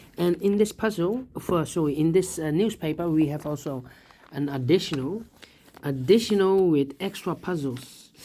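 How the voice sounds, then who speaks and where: Speaking at a moderate pace with a non-native accent, a woman uses lively intonation in a fairly low, dark, mellow voice. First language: not English. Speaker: sudoku instructor. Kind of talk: puzzle solving tutorial.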